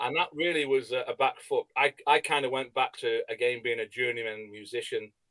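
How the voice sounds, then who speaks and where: A man speaks with an English accent at a fairly quick pace, with hardly any pauses. The sound is dry and close, with no echo. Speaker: rock singer. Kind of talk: interview.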